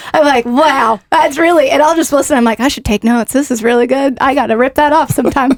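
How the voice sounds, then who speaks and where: The speech comes very fast with hardly any pauses, in an American accent, with fairly even intonation and very even loudness. The sound is dry and close, with no echo. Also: woman, high pitch for a woman. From US South, Nashville area, Tennessee. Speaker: radio events director and DJ. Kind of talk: casual interview chat.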